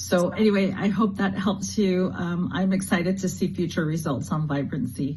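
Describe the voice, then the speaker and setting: There is audible room echo as a woman with a fairly low pitch and vocal fry talks at a moderate pace. Her pitch varies in an ordinary way. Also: hardly any pauses. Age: 60s. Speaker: customer giving testimony. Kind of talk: testimony.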